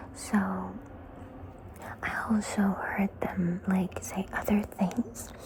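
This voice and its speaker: The speaker whispers very slowly, leaving long, frequent pauses, against noticeable background noise. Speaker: ASMR creator. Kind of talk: ASMR story time, casual talk to camera. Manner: soft-spoken.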